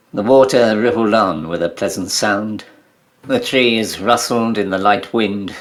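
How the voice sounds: A natural reading voice is what this clip features.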